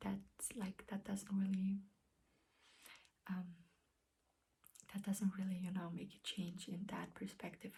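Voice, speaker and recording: Speaking fairly slowly at a medium pitch, a woman with a non-native accent sounds somewhat breathy, with a dark, mellow tone and flat, monotone intonation. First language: not English. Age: 20s. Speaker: beauty vlogger. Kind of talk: casual vlog talk. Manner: hesitant, many fillers; careful, clear.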